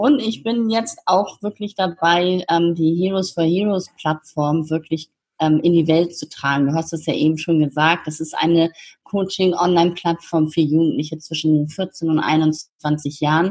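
At a fairly slow pace, a woman with an ordinary speaking voice talks at a fairly low pitch with fairly even intonation. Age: 50s. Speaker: founder of youth coaching platform. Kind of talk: interview.

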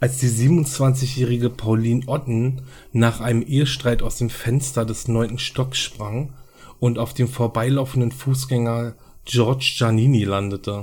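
Fairly even intonation marks this somewhat breathy voice. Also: man. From Berlin. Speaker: true crime podcaster. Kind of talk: true crime narration. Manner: hesitant, many filler sounds.

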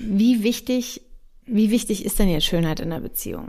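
A woman's dark, mellow tone at a medium pitch. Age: 30s. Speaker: podcast host. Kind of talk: casual chat.

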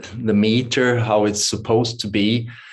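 Speaking at a fairly slow pace, a man with a Swedish accent has a medium pitch. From Sweden. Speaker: yoga teacher and meditation author. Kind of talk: interview conversation. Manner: halting.

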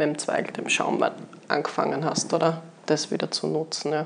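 A plain, everyday voice from a woman, fairly low in pitch, at a moderate pace. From Austria, Graz, Styria. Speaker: winery sales and export staff. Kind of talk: casual chat. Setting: on location at a winery.

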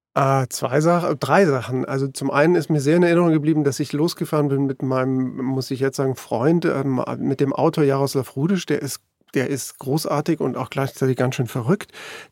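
Captured with a dry, close sound with no echo, a man with a fairly high pitch speaks with fairly even intonation. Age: 50s. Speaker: newspaper journalist. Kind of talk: conversational interview. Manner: hesitant, with many fillers.

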